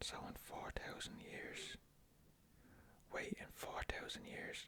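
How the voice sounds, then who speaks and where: Someone is whispering. The pace is very slow. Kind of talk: ASMR trivia game. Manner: whispered.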